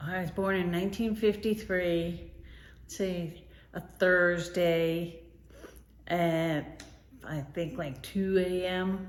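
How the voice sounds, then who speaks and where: Speaking very slowly with long, frequent pauses, a woman with an American accent uses a fairly low pitch and fairly even intonation, her loudness swinging widely amid audible room echo. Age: 60s. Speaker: grandmother interviewed. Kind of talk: interview answers.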